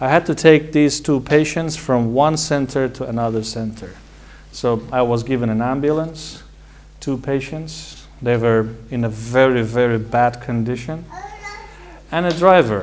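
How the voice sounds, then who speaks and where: A man with an Iranian accent at a fairly slow pace, with a medium pitch and ordinary pitch variation. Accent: Iranian (Persian). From Iran, Tehran. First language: Persian. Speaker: medical doctor and college founder. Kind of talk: personal talk to an audience.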